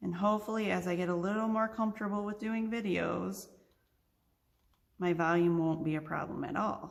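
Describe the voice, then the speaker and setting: Soft-spoken, a woman talks at a moderate pace and medium pitch with fairly even intonation, and audible room echo surrounds her. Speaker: crafting tutorial host. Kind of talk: tutorial. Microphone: too quiet, no proper microphone yet.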